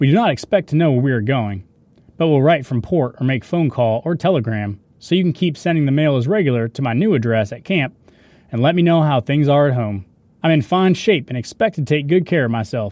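Using an ordinary speaking voice, a man talks at a fairly quick pace and fairly high pitch with lively intonation. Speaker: actor reading a Marine's wartime letters. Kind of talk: reading letters aloud.

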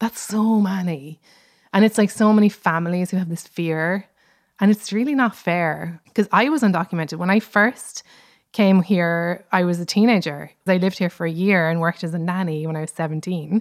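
Recorded very cleanly against a silent background, a woman with an Irish accent speaks at a medium pitch and a moderate pace with ordinary pitch variation, the sound dry and close with no echo. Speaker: comedian and writer. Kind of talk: interview.

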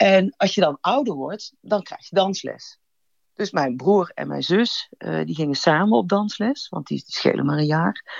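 A woman speaks at a fairly slow pace, her volume swinging widely from loud to soft. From Brabant, Netherlands. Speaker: storyteller guest. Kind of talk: personal storytelling.

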